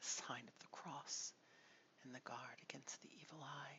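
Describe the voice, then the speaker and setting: Whispering at a moderate pace, the voice carries a soothing tone. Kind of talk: soft-spoken ASMR audiobook reading of a gothic novel. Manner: soft, soothing, whispered.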